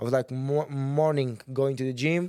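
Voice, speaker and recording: With a Portuguese accent, a man talks at a moderate pace in a dark, mellow tone. His pitch is fairly high and his intonation fairly even. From Portugal, Sintra near Lisbon. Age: 20s. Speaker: kickboxer. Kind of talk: casual interview. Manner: halting, many restarts.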